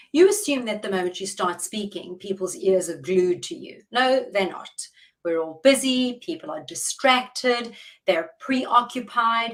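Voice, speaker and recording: Spoken at a fairly slow pace with a South African accent, this voice has lively intonation and big swings in loudness. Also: woman. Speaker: public speaking coach. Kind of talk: interview. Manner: deliberate, measured pace.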